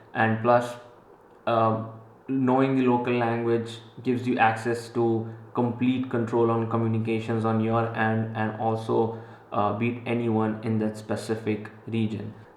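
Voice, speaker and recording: Amid audible room echo, a man talks in a monotone, flat intonation. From Central Africa, Indian Gujarati family. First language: Gujarati. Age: 20s. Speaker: entrepreneur vlogger. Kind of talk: vlog talk to camera. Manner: casual with many fillers.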